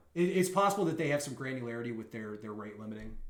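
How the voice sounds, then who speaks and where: A man speaks at a medium pitch with a Southern US accent. The room echo is audible. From US South. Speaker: bug bounty hunter streamer. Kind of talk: live stream tutorial. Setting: live stream. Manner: casual, hesitant with fillers.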